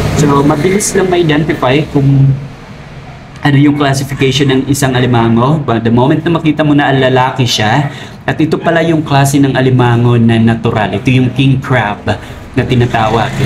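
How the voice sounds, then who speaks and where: A man speaks with fairly even intonation and very even loudness. The room echo is audible. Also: medium pitch for a man, moderate pace. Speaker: crab trader vlogger. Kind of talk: tutorial. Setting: outdoors by the roadside.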